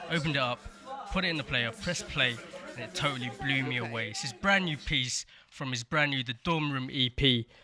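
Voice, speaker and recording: Over music in the background, the speaker talks fairly quickly with ordinary pitch variation. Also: man, medium pitch for a man. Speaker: radio presenter. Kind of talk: radio DJ introduction.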